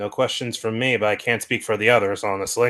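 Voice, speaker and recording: A man's put-on character voice at a medium pitch, delivered at a very fast pace. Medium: actual play. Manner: dry.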